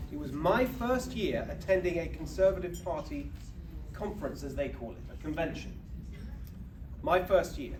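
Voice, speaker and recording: There is audible room echo and noticeable background noise. A man speaks with long, frequent pauses. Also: big swings in loudness. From England, UK. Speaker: political speaker. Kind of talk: speech to an audience. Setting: banquet stage with audience.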